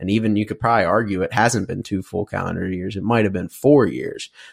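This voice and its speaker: A man talks at a fairly low pitch with ordinary pitch variation. The recording is very clean, with a silent background and a dry, close sound with no echo. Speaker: sports podcast host. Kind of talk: solo sports podcast monologue. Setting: alone in a room recording. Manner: rambling, casual.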